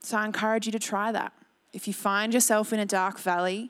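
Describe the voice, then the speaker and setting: The background is silent and the recording very clean. A woman with an Australian accent talks at a moderate pace. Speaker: pastor. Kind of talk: sermon. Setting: church.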